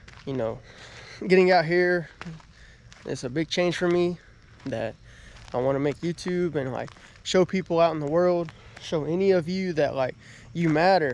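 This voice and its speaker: Someone with a Southern US accent speaks at a moderate pace, leaving long, frequent pauses. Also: man, high pitch for a man, ordinary pitch variation. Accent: Southern US (Georgia). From US South, southern Georgia. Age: 20s. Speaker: motivational vlogger. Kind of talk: casual vlog, house tour. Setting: at home. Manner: halting, many fillers.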